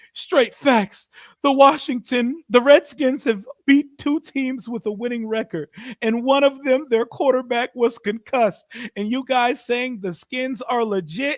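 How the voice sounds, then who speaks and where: A whiny put-on character voice with a whining tone, fairly high pitch and a moderate pace. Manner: mock crying, whiny.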